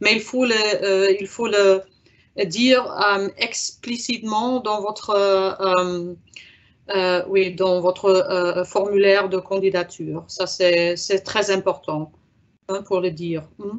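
A woman reads very slowly in a German accent. Her intonation is fairly even. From Germany. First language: German (speaking French). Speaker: exchange program officer; presenter. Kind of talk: webinar Q&A. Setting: video conference. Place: office. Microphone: video call.

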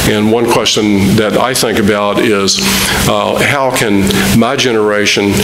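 The man's voice sits fairly low in pitch. Noticeable background noise runs behind him. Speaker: church teacher. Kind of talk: sermon. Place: church. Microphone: camera far.

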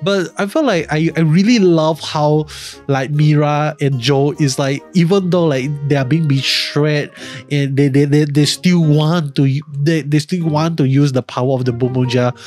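Faint music sits in the background while a man talks at a fairly slow pace with ordinary pitch variation, the sound dry with no echo. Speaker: show reviewer. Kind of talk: commentary. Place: home room. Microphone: studio mic.

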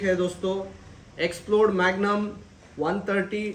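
In a room with audible echo, a man talks at a moderate pace in a high pitch.

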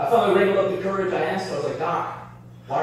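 With music in the background, a man's voice carries strong room echo. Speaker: stand-up comedian. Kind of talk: stand-up comedy set. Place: bar.

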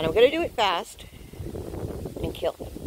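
Noticeable background noise behind a woman's dry, echo-free voice. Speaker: challenge vlogger. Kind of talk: casual vlog chat. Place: forest. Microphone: phone near.

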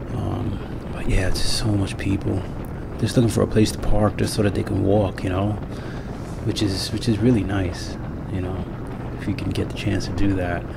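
Amid loud background noise, a man speaks at a moderate pace with long, frequent pauses. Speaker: motorcycle vlogger. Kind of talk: casual vlog chat. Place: motorbike. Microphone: helmet.

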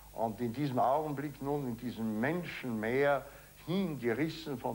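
Here a man is speaking. His pitch shows ordinary variation. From Austria. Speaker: eyewitness interviewee; witness. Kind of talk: interview recollection; interview answer. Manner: halting, reflective. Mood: reflective, reminiscing. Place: office.

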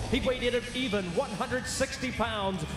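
Over noticeable background noise, a man with an extremely high voice talks at a moderate pace with ordinary pitch variation. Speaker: MMA cage announcer. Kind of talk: live fight announcer introducing fighters and reading scorecards. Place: stadium. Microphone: handheld.

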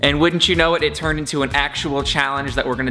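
A man is talking. Faint music can be heard in the background. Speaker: vlogger. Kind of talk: casual vlog chat. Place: home room. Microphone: phone near.

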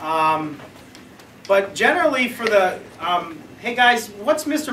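A raised, projected voice moves through very wide pitch swings. Audible room echo and light background noise surround it. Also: man. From Pittsburgh, western Pennsylvania; Pennsylvania. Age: 30s. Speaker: elementary school teacher. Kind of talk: casual self-made video audition with students. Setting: classroom. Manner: animated. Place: classroom. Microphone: camera far.

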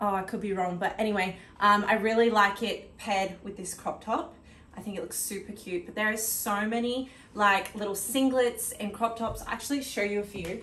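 Amid light background noise and audible room echo, a woman with an Australian accent speaks at a moderate pace with big swings in loudness. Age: late 20s. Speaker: fitness content creator. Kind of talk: casual talk to camera. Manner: upbeat, chatty. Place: home room. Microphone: camera far.

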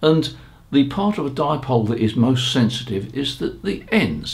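A man's slightly mellow tone with vocal fry, at a moderate pace.

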